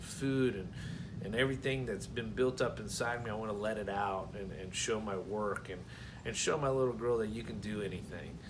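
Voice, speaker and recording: The speaker has a rural Southern US accent and fairly even intonation. Noticeable background noise and audible room echo fill the recording. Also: man. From Florida (Brooksville, near Tampa). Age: 30s. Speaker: scholarship applicant, rancher and aspiring chef. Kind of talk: personal application video, speaking to camera. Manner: halting, many fillers and repeated words.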